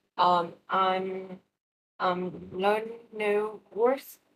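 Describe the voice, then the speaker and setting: With a Vietnamese accent, a woman speaks at medium pitch with ordinary pitch variation. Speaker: English learner. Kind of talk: language practice conversation. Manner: halting, many fillers.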